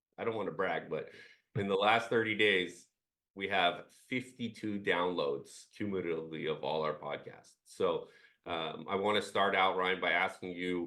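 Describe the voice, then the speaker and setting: A man speaks at a moderate pace. His pitch sits fairly low. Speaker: employment lawyer and podcast co-host. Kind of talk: casual chat. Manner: halting, many fillers.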